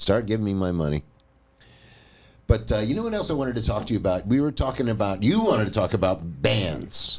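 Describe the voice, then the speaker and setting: A man with a fairly low pitch talks at a fairly quick pace, his pitch swinging very widely. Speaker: podcast host and bass player. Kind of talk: casual chat.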